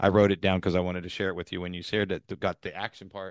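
The recording is dry and close, without any echo. A man does the talking. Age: 50s. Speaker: podcast host and ministry worker. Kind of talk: casual interview chat. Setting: video call. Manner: animated.

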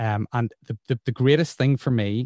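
Northern Irish accent from a man with a dark, mellow tone, moderate pace and ordinary pitch variation, dry and close with no echo. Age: 40s. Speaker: radio presenter. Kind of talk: casual interview. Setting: video call.

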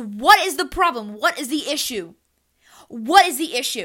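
A woman's raised, projected voice, animated and bright, sharp in tone, at a moderate pace. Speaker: solo podcaster. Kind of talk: personal opinion monologue.

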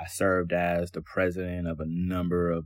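In a very clean recording with a silent background, a man with an American accent talks at a moderate pace in a very deep, low pitch. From Cleveland, Ohio. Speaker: medical resident. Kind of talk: personal testimony.

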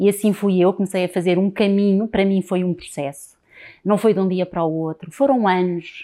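On a very clean recording with a silent background, a woman with a dark, mellow tone speaks at a medium pitch and moderate pace with fairly even intonation. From Portugal, Lisbon. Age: 40s. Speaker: transgenerational therapist. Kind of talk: interview.

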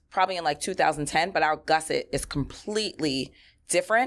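A woman with a New York accent speaks in an animated tone at a fairly quick pace, her fairly low pitch showing ordinary variation. The recording is very clean, with a silent background. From New York, Queens (Flushing). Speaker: entrepreneur. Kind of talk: interview.

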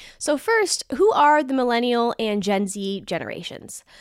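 Using an ordinary speaking voice, a woman talks fairly slowly in a fairly high pitch with lively intonation. The recording is very clean with a silent background, dry and close with no echo. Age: 20s. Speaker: financial advisor and podcast host. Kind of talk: casual educational talk. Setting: video podcast recording. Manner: upbeat.

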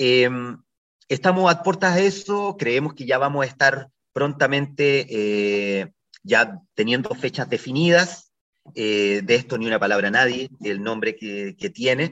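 At a fairly slow pace, a man of medium pitch speaks with very wide pitch swings. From Chile, Ovalle (Coquimbo region). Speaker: actor and theatre director. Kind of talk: radio interview. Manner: halting, many repetitions and fillers.

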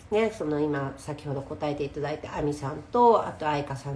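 Audible room echo surrounds a woman speaking at a fairly quick pace in a somewhat breathy voice with a very deep, low pitch. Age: 40s. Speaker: podcast host and Instagram live streamer. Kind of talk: casual live-stream talk. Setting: Instagram live stream recorded as podcast.

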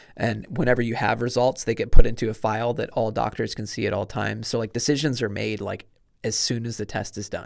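Speaking very fast with vocal fry, a man with a Midwestern American accent keeps a medium pitch and fairly even intonation on a very clean recording with a silent background. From Indiana. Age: 30s. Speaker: marathon runner and heart surgery survivor. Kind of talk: casual chat. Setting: studio.

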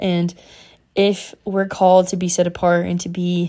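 Recorded very cleanly against a silent background, a woman speaks with a fairly low pitch and a dark, mellow tone. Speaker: faith podcast host. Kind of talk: devotional monologue. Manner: fast; animated.

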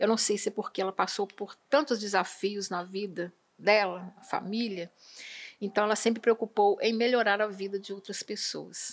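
A woman with a plain, everyday voice and a medium pitch talks at a moderate pace with fairly even intonation and big swings in loudness. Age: 60s. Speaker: retired school principal, educator. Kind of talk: podcast interview. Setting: studio.

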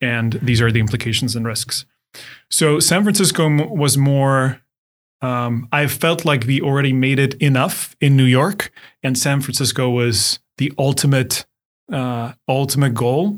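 A medium-pitched man with a Czech accent, speaking at a fairly slow pace with ordinary pitch variation on a very clean recording with a silent background. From Czech Republic, Ostrava. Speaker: startup CEO. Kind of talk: interview.

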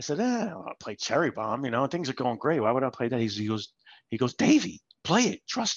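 Using a plain, everyday voice, a man speaks at medium pitch with lively intonation and a fairly quick pace. The sound is dry and close with no echo, over a quiet background. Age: 50s. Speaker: father of the host, former DJ. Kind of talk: casual chat. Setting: radio studio.

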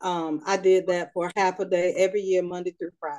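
A woman speaks with a North Carolina accent. Her tone is dark and mellow. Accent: Southern US (North Carolina). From North Carolina, Raleigh. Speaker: writing and editing business owner. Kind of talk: interview, personal storytelling.

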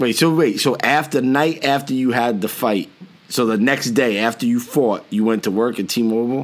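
With a New Jersey accent, a man talks at a moderate pace with ordinary pitch variation. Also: medium pitch for a man, very even loudness. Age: 40s. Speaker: podcast host. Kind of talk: casual chat.

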